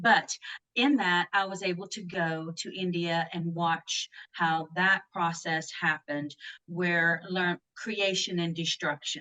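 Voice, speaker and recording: A woman with a Southern US accent, fairly low in pitch, at a very slow pace with fairly even intonation and a dry, close sound with no echo. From US South. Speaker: grief and loss author. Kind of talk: podcast interview.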